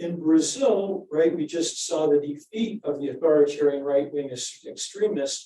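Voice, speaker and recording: Here a man speaks at a moderate pace with hardly any pauses. His fairly high pitch shows ordinary variation. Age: 60s. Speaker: political science professor, book editor. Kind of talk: panel discussion answer. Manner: halting, many fillers.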